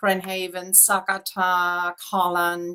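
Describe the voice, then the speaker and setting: A woman speaks with a German accent. Her voice is medium in pitch and bright and sharp in tone. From Germany. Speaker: real estate agent. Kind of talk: interview.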